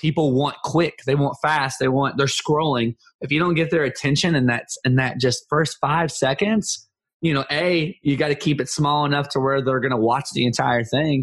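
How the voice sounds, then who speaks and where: This man speaks at a moderate pace with fairly even intonation and very even loudness. His voice is fairly high for a man and somewhat breathy. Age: 30s. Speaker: comedy content creator. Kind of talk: casual interview chat.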